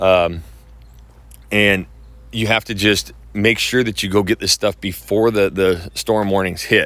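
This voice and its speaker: This man's voice sits fairly low in pitch. The recording is very clean, and the background is silent. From Idaho, US. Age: 30s. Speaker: podcast host and real estate agent. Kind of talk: casual monologue. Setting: outdoors. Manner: animated.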